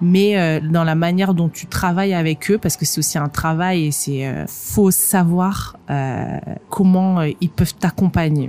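A woman speaks at a fairly slow pace with a fairly low pitch and fairly even intonation. Noticeable background noise runs underneath. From northern France. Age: 30s. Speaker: magazine editor and entrepreneur. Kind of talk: interview. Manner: halting.

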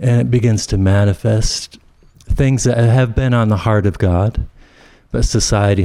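This man's voice has a dark, mellow tone. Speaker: minister. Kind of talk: casual chat.

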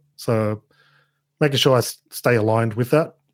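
A man with an Australian accent speaks at a fairly slow pace in a medium pitch, on a very clean recording with a silent background. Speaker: YouTuber on digital marketing. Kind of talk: podcast interview.

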